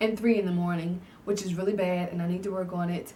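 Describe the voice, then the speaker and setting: A woman speaks with audible room echo around her. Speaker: YouTuber. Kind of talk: casual vlog Q&A. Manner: halting; filler-heavy.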